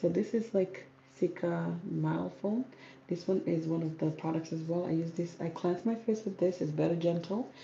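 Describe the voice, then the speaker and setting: The voice has a dark, mellow tone with vocal fry, a calm tone and ordinary pitch variation. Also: woman, fairly low pitch for a woman, moderate pace. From South Sudan, grew up in Kenya. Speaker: natural hair and skincare vlogger. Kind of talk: casual live Q&A chat.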